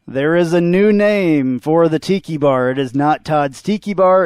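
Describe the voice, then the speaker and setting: A plain, everyday voice with ordinary pitch variation. The sound is dry and close, with no echo. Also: man. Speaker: podcast host. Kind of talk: sports podcast banter.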